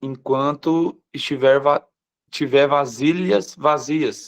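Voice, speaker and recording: A man's fairly high voice moves very slowly. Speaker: pastor. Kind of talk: live online morning devotional sermon. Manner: slows down deliberately at times.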